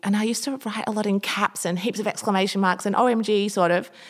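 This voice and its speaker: Using a plain, everyday voice, a woman moves along at a fairly quick clip, her pitch varying in an ordinary way. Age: 30s. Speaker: interiors blogger and business owner. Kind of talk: interview conversation.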